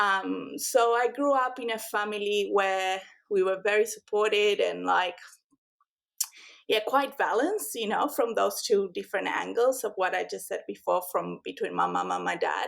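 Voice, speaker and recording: In an Argentine accent, a woman talks at a moderate pace. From Argentina, Buenos Aires. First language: Spanish. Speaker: rug and homewares brand founder. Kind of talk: podcast interview. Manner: many filler words (um, like).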